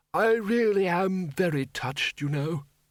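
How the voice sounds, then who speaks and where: A man puts on a character voice, high in pitch. He delivers it at a moderate pace. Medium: read story. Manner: polite, mild, hesitant.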